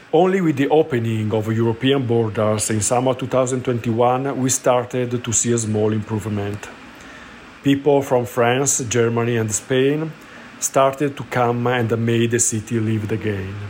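Over noticeable background noise, a man at medium pitch speaks fairly slowly with fairly even intonation. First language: Italian (speaking Chinese). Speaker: cosmetics shop manager. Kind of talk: recorded voice message.

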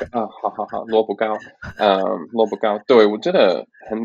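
His pitch sits fairly low for a man. He talks at a moderate speed. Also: dry, close sound with no echo. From Canada. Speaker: Mandarin learner, tourist. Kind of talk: interview. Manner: halting, many fillers.

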